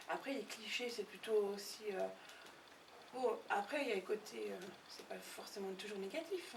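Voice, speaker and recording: A woman at a moderate pace and medium pitch, over noticeable background noise. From French side near Geneva. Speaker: interviewee, cross-border worker. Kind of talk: documentary interview. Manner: hesitant, many fillers.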